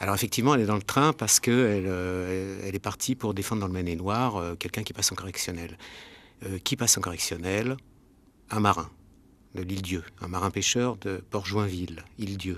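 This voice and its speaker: Pitched fairly low, a man talks at a fairly quick pace with ordinary pitch variation. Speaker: film director. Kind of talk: radio interview. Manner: hesitant, with many fillers.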